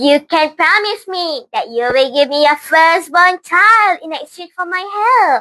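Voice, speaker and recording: This put-on character voice moves at a fairly slow pace with hardly any pauses. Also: woman, extremely high pitch for a woman. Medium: read story.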